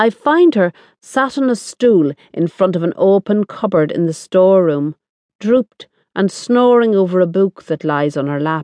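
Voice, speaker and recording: This woman's voice is medium-pitched, with lively intonation. She speaks at a moderate pace. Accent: Irish. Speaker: audiobook narrator. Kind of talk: dramatic first-person audiobook narration of a novel. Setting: studio. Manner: intimate, confiding, voicing an Irish working-class woman; expressive, wry, with sly asides and tender indignation.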